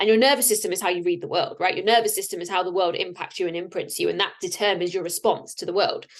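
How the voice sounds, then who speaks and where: A very fast pace with hardly any pauses. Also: woman. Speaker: podcast host and life coach. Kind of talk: solo podcast monologue.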